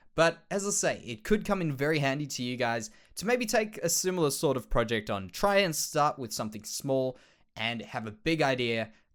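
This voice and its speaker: In a very clean recording with a silent background, a man with an Australian accent speaks at a moderate pace, fairly high in pitch, with very wide pitch swings. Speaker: Minecraft let's play creator. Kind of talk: casual gameplay commentary.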